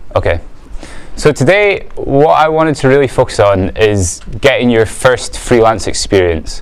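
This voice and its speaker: A man with an Edinburgh accent speaks at a moderate pace with very even loudness over noticeable background noise. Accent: Scottish (Edinburgh). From Scotland, Edinburgh. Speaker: business owner, guest speaker. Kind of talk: talk to a student audience.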